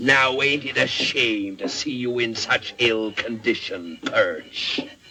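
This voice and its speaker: A man puts on a character voice. It sits at a medium pitch. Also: fairly slow pace. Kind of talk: theatrical pirate swagger. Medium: short film. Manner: rolling, sardonic, growling.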